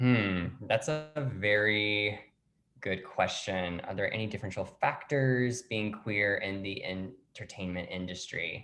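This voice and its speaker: Speaking very slowly, a man has an American accent. His pitch variation is ordinary. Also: fairly low pitch for a man. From US South. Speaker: actor and playwright. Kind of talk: interview.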